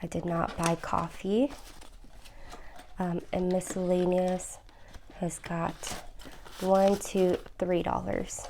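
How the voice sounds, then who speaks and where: Soft-spoken, a woman talks at a very slow pace. Her medium-pitched voice keeps fairly even intonation. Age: 30s. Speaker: budgeting vlogger. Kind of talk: casual tutorial vlog. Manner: hesitant with frequent fillers.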